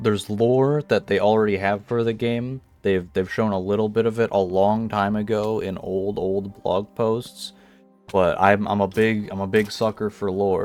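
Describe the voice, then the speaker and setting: Over music in the background, a man speaks fairly slowly at a fairly low pitch with fairly even intonation. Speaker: gamer, video game commentator. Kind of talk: casual talk to camera.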